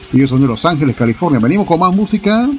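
Noticeable background noise sits behind a man speaking with a Panamanian accent and lively intonation. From Panama City, Panama. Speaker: radio host. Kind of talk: radio DJ patter, extreme-metal show host. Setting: radio studio broadcast. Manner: relaxed, chatty, friendly; halting, rambling, trailing off mid-thought.

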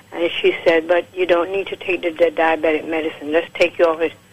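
A woman speaks at a moderate pace in a fairly low pitch. Noticeable background noise runs underneath. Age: 70s. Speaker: caller giving product testimonial. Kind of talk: testimony. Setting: phone call.

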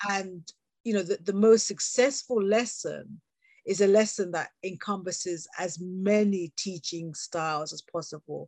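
The sound is dry and close, with no echo, as a woman with a British accent speaks at a medium pitch. Her pace is fairly slow, her pitch varies in an ordinary way, and her loudness swings widely. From England, UK. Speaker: education consultant, teacher trainer and author. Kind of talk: casual interview chat.

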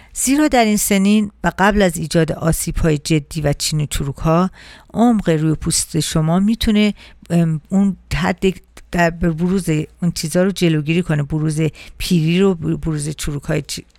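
Using an ordinary speaking voice, a woman talks at a moderate pace with a fairly low pitch and ordinary pitch variation. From Iran. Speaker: radio host and beauty specialist. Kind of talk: radio talk show monologue.

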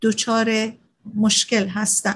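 Against a quiet background, a woman with a fairly high pitch speaks at a fairly slow pace in a somewhat breathy voice. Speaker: radio host and psychologist. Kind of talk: radio talk summarizing a book. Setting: radio show. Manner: formal, explanatory.

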